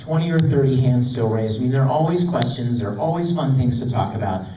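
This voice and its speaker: Noticeable background noise runs behind a man's voice. His pitch sits in the medium range and varies in an ordinary way. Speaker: voice actor. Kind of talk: convention panel talk. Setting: convention hall. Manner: upbeat, energetic.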